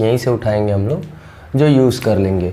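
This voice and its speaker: A man speaks at a moderate pace with ordinary pitch variation. Audible room echo surrounds the voice. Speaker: physics teacher. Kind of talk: lecture.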